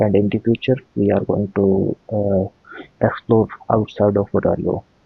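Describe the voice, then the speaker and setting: Music sits in the background. A man speaks in a fairly low voice with fairly even intonation. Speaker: anime reaction youtuber. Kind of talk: casual reaction commentary. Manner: halting, many fillers.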